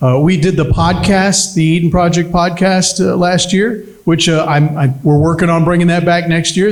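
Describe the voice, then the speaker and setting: At a moderate pace, a man with a high pitch talks with hardly any pauses and very even loudness. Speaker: event emcee. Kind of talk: event hosting speech. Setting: fundraiser dinner with audience.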